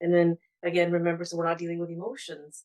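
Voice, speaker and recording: Speaking with a Punjabi accent, a woman has a fairly low pitch. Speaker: therapeutic counsellor. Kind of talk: webinar panel talk. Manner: halting, many repetitions and fillers.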